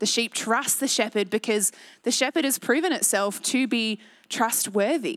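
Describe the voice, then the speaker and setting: A woman with an Australian accent, fairly high-pitched, at a moderate pace with ordinary pitch variation and very even loudness, on a very clean recording with a silent background. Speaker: pastor. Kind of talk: sermon. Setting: church.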